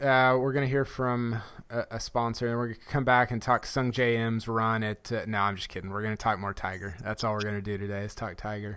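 A man speaks in a plain, everyday voice at medium pitch. His pace is fairly quick and his pitch varies in an ordinary way. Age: 30s. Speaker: podcast host and golf writer. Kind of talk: casual chat. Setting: video call.

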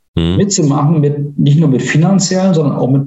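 With lively intonation, a man speaks in a fairly high pitch, his tone dark and mellow and somewhat breathy. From northern Germany, Mecklenburg-Vorpommern. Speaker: IT entrepreneur. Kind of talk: interview.

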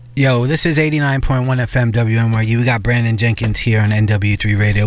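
A man with an American accent, fairly low in pitch, at a moderate pace over noticeable background noise. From New York. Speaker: radio host. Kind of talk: casual chat. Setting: studio. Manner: animated.

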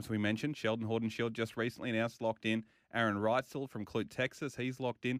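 Very fast speech from a man with an Australian accent at medium pitch, dry and close with no echo, on a very clean recording with a silent background. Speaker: motorsport radio host. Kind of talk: radio show chat. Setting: radio studio. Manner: animated.

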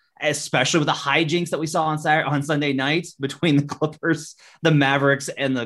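With an ordinary speaking voice, a man talks at a fairly quick pace in a fairly high pitch over a quiet background. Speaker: NBA journalist. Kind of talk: casual sports betting chat.

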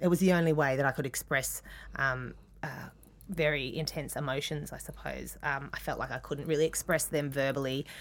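A woman with an Australian accent speaks at a moderate pace in a very deep, low pitch, with vocal fry. Her intonation is fairly even, and the recording is very clean with a silent background. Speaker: artist. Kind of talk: interview. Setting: studio. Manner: halting.

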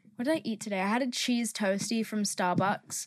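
In a very clean recording with a silent background and a dry, close sound with no echo, a woman with an English accent speaks at a moderate pace, her medium pitch carrying ordinary pitch variation. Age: 20s. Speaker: podcast host. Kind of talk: casual monologue. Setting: in a car.

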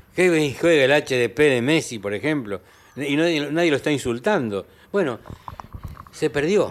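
Over noticeable background noise, a man with a fairly high pitch speaks at a fairly slow pace, using lively intonation and long, frequent pauses. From Argentina, Santiago del Estero. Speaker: linguist and language professor. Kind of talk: interview conversation.

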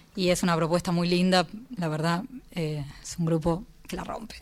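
At a moderate pace, a woman uses an ordinary speaking voice, fairly low in pitch, with ordinary pitch variation. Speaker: composer and pianist. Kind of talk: casual radio interview. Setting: radio studio.

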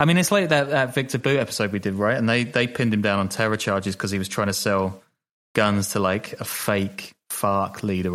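This man has a British accent, a fairly low pitch, ordinary pitch variation and a fairly quick pace. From Britain. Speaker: podcast co-host and journalist. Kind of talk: casual chat. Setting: video call.

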